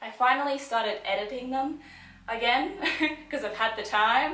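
In a room with audible echo, a woman speaks at a moderate pace in a high voice, her tone bright and sharp and her intonation lively.

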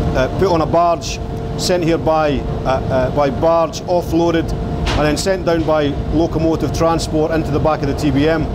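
At a moderate pace, a man speaks through loud background noise. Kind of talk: guided tour explanation. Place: tunnel cave.

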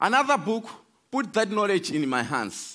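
Against a quiet background, a man with a Malawian accent and a high pitch talks at a fairly slow pace with very wide pitch swings. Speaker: speaker giving a talk. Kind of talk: prepared talk with storytelling. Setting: stage with audience. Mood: earnest, hopeful. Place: stage. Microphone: headset.

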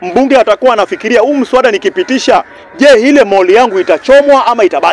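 Very wide pitch swings mark this man's speech at a fairly quick pace. The sound is dry with no echo, with light background noise. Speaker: speaker. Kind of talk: political speech in open-air forum. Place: open country. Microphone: handheld.

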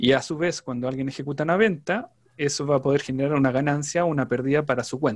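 In a quiet background, a man talks in a normal speaking voice at a fairly high pitch and a fairly quick pace. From Chile. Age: 30s. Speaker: trader; presenter. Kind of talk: interview. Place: home room. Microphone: video call.

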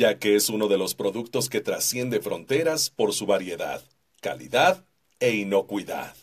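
A man speaks fairly slowly against a quiet background. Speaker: voice-over artist. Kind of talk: corporate narration. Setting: studio. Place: booth. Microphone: studio mic.

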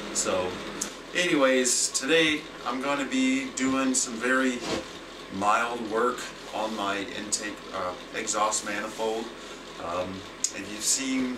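Noticeable background noise sits behind a man talking very slowly. He leaves long, frequent pauses and uses ordinary pitch variation. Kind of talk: casual vlog chat. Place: workshop. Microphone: camera far.

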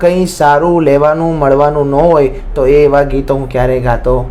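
A man's voice with fairly even intonation. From Visnagar, Mehsana, north Gujarat. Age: 20s. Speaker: singer. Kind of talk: interview.

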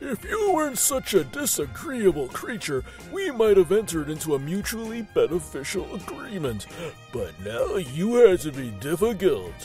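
Against clear music in the background, a man does a put-on character voice with a high pitch at a moderate pace. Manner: smug, magnanimous; mocking, pompous, florid.

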